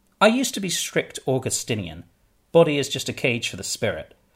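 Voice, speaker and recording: A somewhat breathy man's voice makes very wide pitch swings in a very clean recording with a silent background. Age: 30s. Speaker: podcast host and memoirist. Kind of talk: scripted narration.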